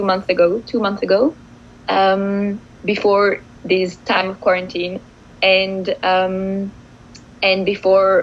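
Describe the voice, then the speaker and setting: A woman at a very slow pace. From France. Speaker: poet. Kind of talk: poetry reading intro.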